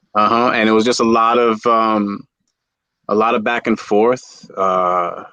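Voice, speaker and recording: A man with a New York accent speaks at a medium pitch and a fairly slow pace in a bright, sharp tone. His intonation is monotone and flat, and his loudness stays very even. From New York City (Bronx). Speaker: reptile breeder. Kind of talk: casual chat. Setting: livestream. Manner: halting.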